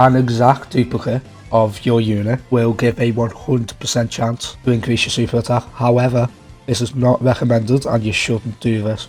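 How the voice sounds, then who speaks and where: Over music in the background, a man talks at a moderate pace with monotone, flat intonation. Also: medium pitch for a man. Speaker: gaming video creator. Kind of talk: game tutorial narration.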